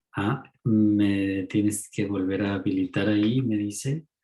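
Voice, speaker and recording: Speaking at a very slow pace, a man has a dark, mellow tone and a fairly low pitch. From Mexico. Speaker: ecopsychologist lecturer. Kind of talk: online talk.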